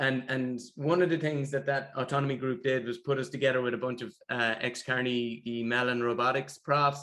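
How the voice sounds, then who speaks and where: Bright and sharp in tone, a man speaks with a Limerick accent at a medium pitch. His moderate pace has hardly any pauses, and his intonation is monotone and flat. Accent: Irish (Limerick). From Ireland, Limerick. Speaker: tech founder. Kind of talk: interview.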